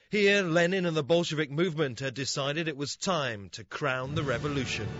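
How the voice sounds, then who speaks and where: With music in the background, a man talks at a fairly quick pace with a fairly high pitch and lively intonation. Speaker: TV news reporter. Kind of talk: TV news report narration.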